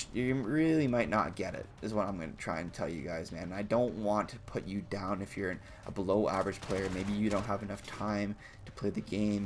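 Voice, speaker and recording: A man with a fairly low pitch talks at a fairly quick pace, with ordinary pitch variation. Noticeable background noise runs behind him. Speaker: gaming YouTuber. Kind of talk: gaming tutorial. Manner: halting, stumbles over words; casual. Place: home room. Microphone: headset.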